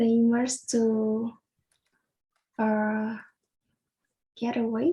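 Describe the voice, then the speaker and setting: The voice is somewhat breathy, with a dark, mellow tone and a Vietnamese accent. It moves at a very slow pace with fairly even intonation. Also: woman. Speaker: language student. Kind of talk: speaking test practice. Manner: halting, hesitant.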